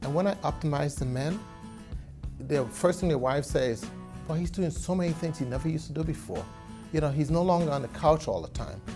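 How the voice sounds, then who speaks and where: Music plays behind a man who speaks at a fairly quick pace with long, frequent pauses. His voice is fairly high, with ordinary pitch variation. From Trinidad and Tobago. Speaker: physician. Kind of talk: interview answer.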